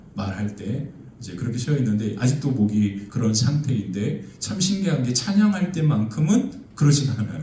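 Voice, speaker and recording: Talking at a fairly quick pace, a man with a medium-pitched voice is heard over noticeable background noise, with audible echo from the room. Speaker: pastor. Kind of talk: sermon. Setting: church. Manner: frequent filler hesitations.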